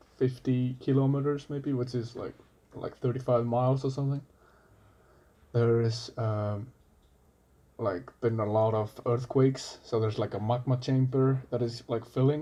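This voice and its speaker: A man speaks at a moderate pace and medium pitch in a dark, mellow tone. His intonation is monotone and flat, with long, frequent pauses. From Iceland. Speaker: coffee barista. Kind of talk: casual chat.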